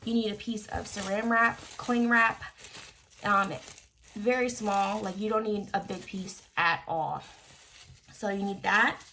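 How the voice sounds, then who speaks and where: Over noticeable background noise, a woman with a medium pitch talks at a fairly slow pace, her intonation fairly even and her pauses long and frequent. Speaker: beauty YouTuber. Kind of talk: tutorial. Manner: casual with many fillers.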